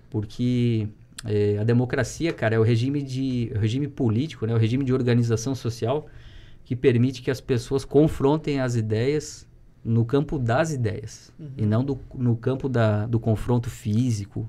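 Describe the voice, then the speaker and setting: A man speaks at a medium pitch with a dark, mellow tone. His intonation is fairly even. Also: moderate pace. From Santa Catarina, Brazil (Rio do Sul); Santa Catarina, Brazil. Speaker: teacher and municipal education secretary; podcast guest, teacher. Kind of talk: casual chat. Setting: studio. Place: studio.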